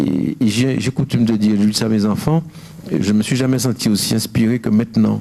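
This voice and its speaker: Here a man speaks at a fairly low pitch with ordinary pitch variation. His loudness stays very even. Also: fairly quick pace. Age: 60s. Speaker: painter. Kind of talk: interview. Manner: halting.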